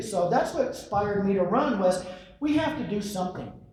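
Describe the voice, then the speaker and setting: Noticeable background noise sits under talking that runs at a fairly quick pace. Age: 60s. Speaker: sheriff candidate. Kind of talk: candidate forum speech. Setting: public forum with audience. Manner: halting, many repetitions.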